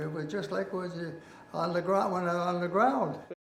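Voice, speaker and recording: A man with a high pitch and an American accent, plus noticeable background noise and audible room echo. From northern Minnesota, Hibbing. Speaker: elderly resident interviewee. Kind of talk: oral history interview. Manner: halting.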